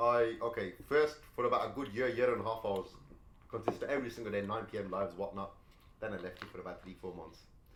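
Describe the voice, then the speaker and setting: A man talks at a very fast pace in a medium pitch with ordinary pitch variation. His loudness swings widely, and there is audible room echo. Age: 20s. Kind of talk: casual chat.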